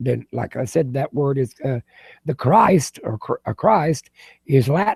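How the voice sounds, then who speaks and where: Speaking at a fairly slow pace with lively intonation, this voice has vocal fry and a dry, close sound with no echo. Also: man, fairly high pitch for a man. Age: 80s+. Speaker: video chat participant, Bible collector. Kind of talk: casual chat. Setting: live video hangout. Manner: halting.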